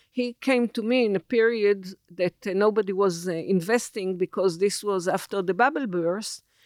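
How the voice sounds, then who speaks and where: With an Israeli accent, a woman talks with hardly any pauses and ordinary pitch variation, the sound dry and close with no echo. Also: medium pitch for a woman, moderate pace. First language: Hebrew. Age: 70s. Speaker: technology executive. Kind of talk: interview. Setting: studio. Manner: halting.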